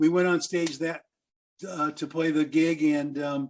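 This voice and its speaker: This man speaks with a Midwestern American accent at a moderate pace. His voice sits fairly high. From US Midwest, Quad Cities, Iowa. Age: 70s. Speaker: blues musician. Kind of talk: interview storytelling.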